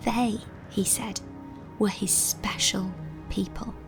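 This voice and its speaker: A woman talks very slowly while music plays in the background. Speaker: voiceover narrator. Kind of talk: children's Bible story narration.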